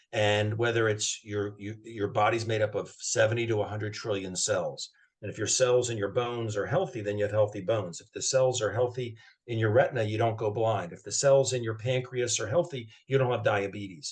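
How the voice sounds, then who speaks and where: Fairly quick and somewhat breathy, a man speaks at medium pitch with ordinary pitch variation and big swings in loudness. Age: 60s. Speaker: health practitioner promoting wellness product. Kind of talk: interview conversation. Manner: halting, with repetitions and false starts.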